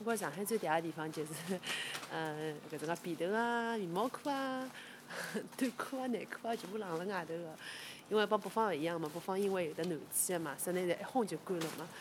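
A woman speaks fairly quickly with a Shanghai accent and lively intonation. Noticeable background noise runs underneath. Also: medium pitch for a woman. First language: Shanghainese (speaking Chinese). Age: 30s. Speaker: local resident. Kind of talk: walking tour recollection. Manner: halting.

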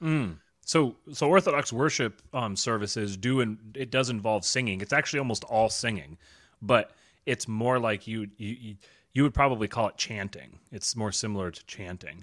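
A man with an unremarkable speaking voice talks at a medium pitch and a moderate pace, with ordinary pitch variation. His loudness swings widely, and the recording is very clean with a silent background. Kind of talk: casual conversation.

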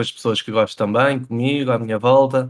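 Delivery stays at a moderate pace. Its intonation is flat and monotone. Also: man. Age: 20s. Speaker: professional esports player. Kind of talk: casual chat. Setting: livestreamed podcast.

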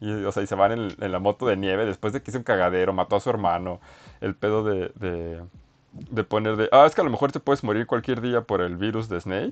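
With a Mexican accent, a man talks at a fairly quick pace in a fairly low voice, the sound dry and close with no echo against a quiet background. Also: ordinary pitch variation. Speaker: podcast host. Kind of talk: casual chat. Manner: halting.

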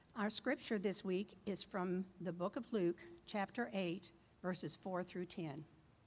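A woman talks at a medium pitch with ordinary pitch variation. It is a normal speaking voice. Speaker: scripture reader. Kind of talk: reading aloud.

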